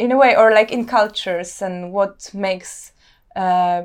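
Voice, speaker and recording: A woman with a Polish accent speaks with fairly even intonation against a quiet background. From Poland, Warsaw. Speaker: visual artist. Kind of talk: interview. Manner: halting.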